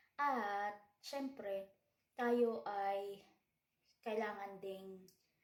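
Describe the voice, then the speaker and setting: A woman speaks at a medium pitch, and the room echo is audible. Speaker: vlogger and house cleaner. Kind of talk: casual vlog talk. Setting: in a bathroom at night. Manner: soft-spoken.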